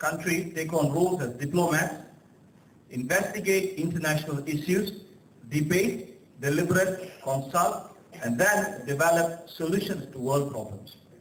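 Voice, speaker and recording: Amid audible room echo, a man talks at a moderate pace with a high pitch and ordinary pitch variation. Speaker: guest speaker at student conference. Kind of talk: ceremonial speech. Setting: conference hall with audience, PA mic. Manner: halting, many fillers.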